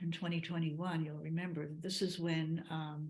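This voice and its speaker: A woman talks at a moderate pace. Her voice is fairly low and somewhat breathy. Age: 80s+. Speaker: ceremony organizer. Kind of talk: presentation to a group. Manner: halting.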